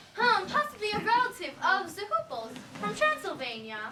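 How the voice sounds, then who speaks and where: A put-on character voice at an extremely high pitch swings very widely in pitch at a moderate pace. Clear background noise and a slight echo surround it. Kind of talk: comic stage acting. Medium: stage play.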